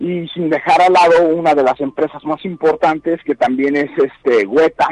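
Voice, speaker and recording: The pitch varies in an ordinary way, and the pace is moderate. The sound is dry and close, with no echo. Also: man. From Mexico, Guanajuato. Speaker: special effects makeup artist. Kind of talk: phone interview. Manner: halting.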